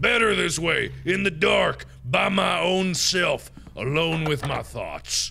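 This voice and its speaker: Over light background noise, a man does a put-on character voice that is raspy and gravelly, at a fairly slow pace. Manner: brooding.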